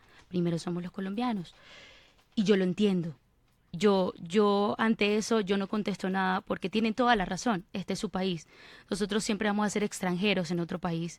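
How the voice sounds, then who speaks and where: In a very clean recording with a silent background, a woman with an ordinary speaking voice talks at medium pitch and a moderate pace with fairly even intonation. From Venezuela. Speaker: actress and TV presenter. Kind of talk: radio interview.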